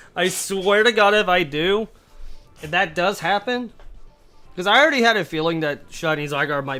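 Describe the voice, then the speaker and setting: Lively intonation carries the speech while music plays in the background. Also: man. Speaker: gaming livestreamer. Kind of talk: casual live gameplay commentary. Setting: livestream. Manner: stuttering at times.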